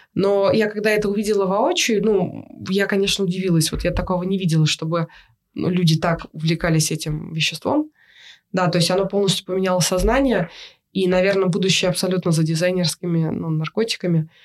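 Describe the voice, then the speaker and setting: A woman's medium-pitched voice carries ordinary pitch variation as she talks at a fairly quick pace. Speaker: photographer. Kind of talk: interview. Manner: halting.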